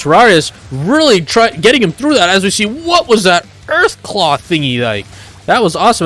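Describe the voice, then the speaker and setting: A man talks at a very fast pace. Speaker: esports commentator. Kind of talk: live commentary. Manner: animated.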